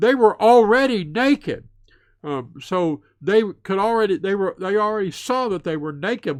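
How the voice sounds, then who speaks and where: Speaking in a Southern US accent, a man uses a high pitch with very wide swings. The recording is very clean, with a silent background. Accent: Southern American. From US South. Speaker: Bible teacher. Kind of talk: lecture. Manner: hesitant with many fillers.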